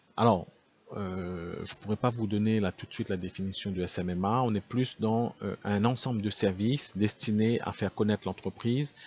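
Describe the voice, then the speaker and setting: A man with a fairly low pitch speaks at a moderate pace and fairly even intonation, in a dry, close sound with no echo. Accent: Réunion. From Réunion. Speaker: call center owner. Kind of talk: business talk to camera. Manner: unscripted, many hesitations.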